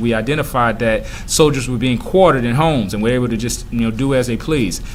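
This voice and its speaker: A man at a very fast pace, with noticeable background noise and audible room echo. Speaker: middle school teacher. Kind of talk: recorded review lesson. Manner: hesitant with fillers.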